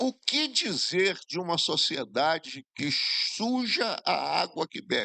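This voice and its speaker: A man at a high pitch, with very wide pitch swings, a very slow pace and hardly any pauses, in a dry, close sound with no echo. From Espírito Santo, Brazil (Jerônimo Monteiro area). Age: 70s. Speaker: former government minister, speaker. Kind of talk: forum talk.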